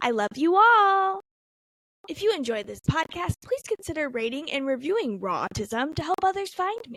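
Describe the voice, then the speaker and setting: Speaking at a moderate pace with an American accent, a woman hits extremely high pitches with very wide pitch swings and big swings in loudness, the sound dry and close with no echo. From Cleveland area, Ohio, US. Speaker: podcast host. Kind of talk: scripted intro.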